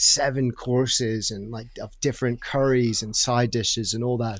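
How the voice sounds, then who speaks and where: Recorded very cleanly with a silent background, a man speaks at medium pitch. He has an American accent. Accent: mid-Atlantic, between British and American. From Brighton, England. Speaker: travel writer and podcast host. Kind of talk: casual interview chat, storytelling.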